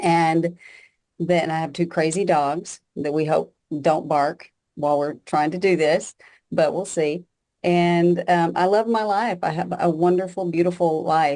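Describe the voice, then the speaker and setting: Dark, mellow tone in a Texan accent, fairly slow pace and fairly even intonation over a quiet background. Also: woman, fairly low pitch for a woman. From Texas. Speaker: bereaved mother. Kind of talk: podcast interview.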